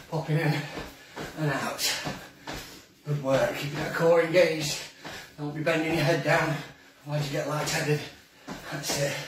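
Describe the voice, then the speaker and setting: Monotone, flat speech at a moderate pace with long, frequent pauses, audible room echo and noticeable background noise. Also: man. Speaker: fitness instructor. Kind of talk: live workout coaching. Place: kitchen. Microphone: camera far.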